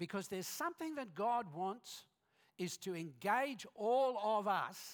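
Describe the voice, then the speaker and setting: A man talks at a very slow pace in an Australian accent. The recording is very clean, with a silent background. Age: 60s. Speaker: guest preacher. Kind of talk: sermon. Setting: church.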